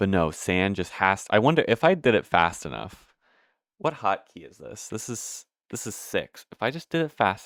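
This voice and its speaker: A man speaks with vocal fry, very wide pitch swings and big swings in loudness. The sound is dry and close with no echo, in a very clean recording with a silent background. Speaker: gaming streamer. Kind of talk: casual gameplay commentary. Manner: halting, many restarts and fillers.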